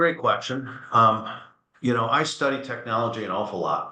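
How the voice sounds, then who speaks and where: A man's bright, sharp voice with audible room echo. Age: 60s. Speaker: furniture company executive. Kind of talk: webinar interview. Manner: animated.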